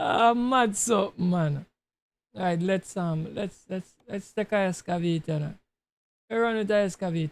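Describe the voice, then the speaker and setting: Speaking in a Tobago accent, a man uses a high pitch with ordinary pitch variation. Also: moderate pace. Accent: Tobago creole, sounds Jamaican to listeners. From Tobago, Trinidad and Tobago. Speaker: gaming streamer. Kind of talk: live gameplay stream chat. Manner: casual, creole-heavy.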